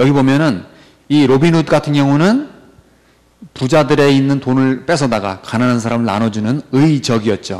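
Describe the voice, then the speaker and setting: Against a quiet background, a man talks at a moderate pace with a medium pitch and ordinary pitch variation. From South Korea. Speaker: English vocabulary teacher. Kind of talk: lecture. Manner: animated. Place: studio.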